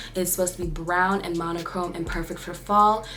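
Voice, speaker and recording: A woman at medium pitch talks fairly quickly with fairly even intonation, amid noticeable background noise and audible room echo. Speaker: beauty vlogger. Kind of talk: tutorial. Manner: fast; casual, chatty.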